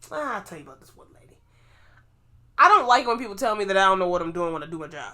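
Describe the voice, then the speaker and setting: Speaking at a very fast pace, a woman with a medium pitch sounds animated, her intonation lively, her loudness swinging widely, and her pauses long and frequent. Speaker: podcast co-host; pharmacy worker. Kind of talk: casual chat.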